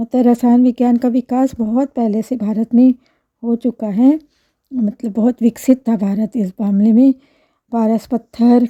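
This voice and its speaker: Her dark, mellow tone stays monotone and flat, and this woman's voice sounds dry and close with no echo. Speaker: school chemistry teacher. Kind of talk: informal talk to camera. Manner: halting, with fillers.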